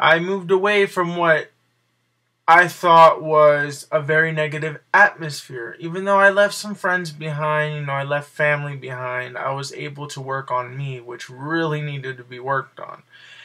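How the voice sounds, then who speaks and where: On a very clean recording with a silent background, a man speaks at a moderate pace and fairly high pitch, his tone bright and sharp, with ordinary pitch variation and big swings in loudness. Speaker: video blogger. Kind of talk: personal vlog monologue. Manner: quiet; halting.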